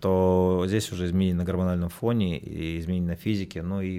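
In a very clean recording with a silent background, a man talks at a fairly quick pace in a very deep, low voice with a dark, mellow tone and flat, monotone intonation. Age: 40s. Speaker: psychologist and tantra workshop leader. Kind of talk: radio interview.

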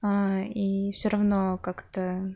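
A woman at a medium pitch speaks in a flat monotone. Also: very clean recording, silent background. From Russia, Chelyabinsk. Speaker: podcast host. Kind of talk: interview.

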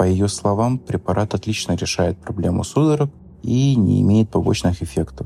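A man speaks at a fairly low pitch and moderate pace, his pitch swinging very widely. His loudness stays very even. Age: 30s. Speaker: editor telling his story. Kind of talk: testimony.

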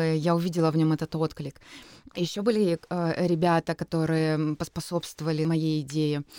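In a dark, mellow tone, a woman speaks at a fairly low pitch with fairly even intonation and very even loudness, on a very clean, dry, close recording with no echo and a silent background. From Russia, Kurgan. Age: 30s. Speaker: poetry event organizer. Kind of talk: interview.

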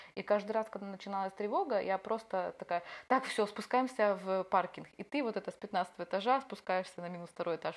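A woman with a normal speaking voice at a medium pitch and a fairly quick pace, with ordinary pitch variation and big swings in loudness. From Ukraine, Odesa. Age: 20s. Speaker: war refugee telling her story. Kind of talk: personal testimony.

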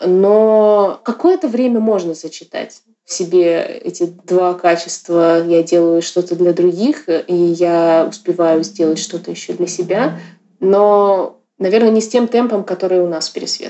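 A woman with an ordinary speaking voice talks at a fairly slow pace, keeping a medium pitch with ordinary pitch variation. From Yakutia, Russia. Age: 30s. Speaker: artist and curator. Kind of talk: casual interview.

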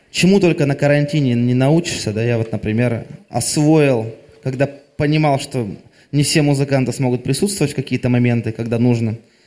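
The tone is dark and mellow, with ordinary pitch variation, on a very clean recording with a silent background. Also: man, medium pitch for a man, moderate pace. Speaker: singer-songwriter. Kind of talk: on-stage interview between songs. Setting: club stage.

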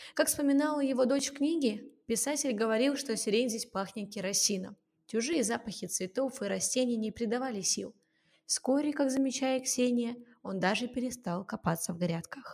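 Here a woman speaks at a high pitch. Her pitch variation is ordinary. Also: moderate pace. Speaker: podcast co-host. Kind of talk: scripted narration; casual chat.

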